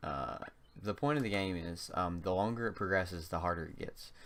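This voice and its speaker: A voice with a slight North Carolina accent carries audible room echo. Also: man. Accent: slight North Carolina Southern. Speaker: gaming YouTuber. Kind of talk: gameplay commentary. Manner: hesitant, frequent um and uh fillers.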